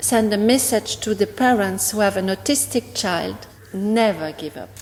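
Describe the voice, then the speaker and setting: A woman with a French accent, fairly high in pitch with ordinary pitch variation, over noticeable background noise. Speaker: parent of the golfer. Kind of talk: interview.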